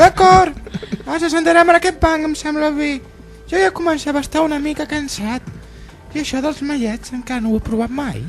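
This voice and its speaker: A put-on character voice is heard over clear music in the background. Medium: audio drama.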